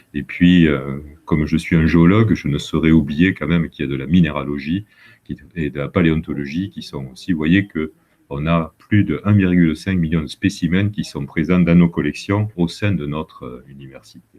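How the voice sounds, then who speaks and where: A man's very deep, low voice in a southern French accent, with a moderate pace, ordinary pitch variation and big swings in loudness. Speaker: university vice-president and geologist. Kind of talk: presentation to students. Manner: hesitant, many fillers.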